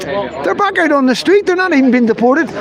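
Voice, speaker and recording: With a Northern Irish accent, a man talks very fast in an animated tone over noticeable background noise. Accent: Northern Irish (Belfast). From Northern Ireland, Belfast. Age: 50s. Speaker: livestreamer, citizen journalist. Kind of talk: live street stream commentary.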